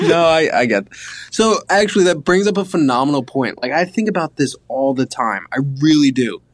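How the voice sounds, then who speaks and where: A man's fairly high voice at a moderate pace, a normal speaking voice with lively intonation, over a quiet background. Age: 20s. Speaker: podcast co-host. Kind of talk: casual chat.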